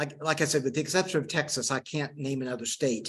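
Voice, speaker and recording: A man with a strong Oklahoma accent speaks at a fairly high pitch. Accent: Oklahoma (Okie) accent, strong. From Western Oklahoma, US. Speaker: historian and geography professor. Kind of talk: lecture with audience Q&A. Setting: lecture room with live audience, also streamed on video call. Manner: halting, many fillers and repeated words.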